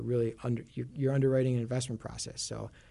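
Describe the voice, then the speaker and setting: A man with a Chicago accent talks at a fairly quick pace in a dark, mellow tone with fairly even intonation. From Chicago, US Midwest. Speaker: CLO analyst. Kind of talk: casual interview about finance.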